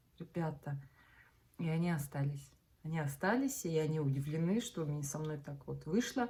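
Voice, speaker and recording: A woman speaks in a very deep, low pitch with a dark, mellow tone and some breathiness. Her pace is moderate and her pitch varies in an ordinary way, with long, frequent pauses. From Russia, Bashkortostan. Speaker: vlogger. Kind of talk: casual chat. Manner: animated.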